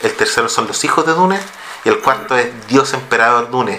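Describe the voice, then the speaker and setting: In a Chilean accent, a man speaks at a medium pitch and moderate pace with ordinary pitch variation. Noticeable background noise and audible room echo are present. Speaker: podcast host. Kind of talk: reading aloud; casual chat.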